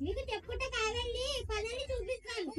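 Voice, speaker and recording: A squeaky, put-on character voice at an extremely high pitch. Loud background noise fills the recording. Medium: stage play. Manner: servile with masters, sly.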